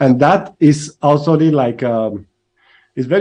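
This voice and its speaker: With a dark, mellow tone, the speech shows ordinary pitch variation. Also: man. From Spain, Barcelona. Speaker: tech company founder. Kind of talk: interview. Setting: live stream.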